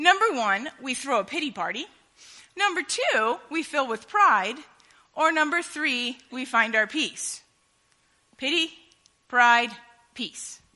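Raising and projecting her high voice, a woman speaks very slowly with very wide pitch swings and long, frequent pauses. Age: 30s. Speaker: preacher. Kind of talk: sermon.

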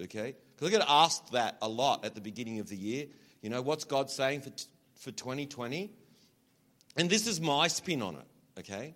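A man with an American accent talks at a moderate pace and a fairly high pitch, with long, frequent pauses. His pitch swings very widely and his loudness rises and falls sharply. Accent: Australian, toned down for US audience. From Australia. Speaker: visiting preacher. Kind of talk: sermon. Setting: church with live congregation. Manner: animated, warm.

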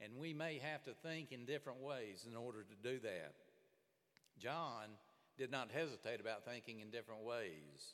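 Here is a man with a Southern US accent. His pitch is medium. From Alabama. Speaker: pastor. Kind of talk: sermon. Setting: church.

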